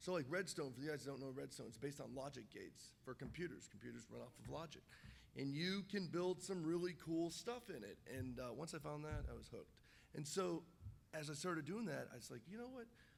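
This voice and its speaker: A man's animated tone with lively intonation, fairly high pitch and vocal fry, at a fairly quick pace, with audible room echo. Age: 30s. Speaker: game designer and YouTuber. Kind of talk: panel discussion. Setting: stage with audience. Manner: animated storytelling.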